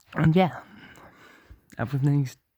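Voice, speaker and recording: A man speaks quietly. His pitch varies in an ordinary way. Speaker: vlogger. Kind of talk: casual vlog update. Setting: at home at night. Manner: halting.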